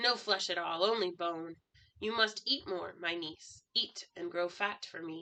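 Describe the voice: A woman's put-on character voice, growling and fairly low, at a moderate pace.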